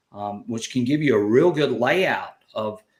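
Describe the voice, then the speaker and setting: In a Southern US accent, the speaker talks at a fairly slow pace with ordinary pitch variation. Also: man. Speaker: metal detecting channel host. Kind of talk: live stream chat. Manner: animated.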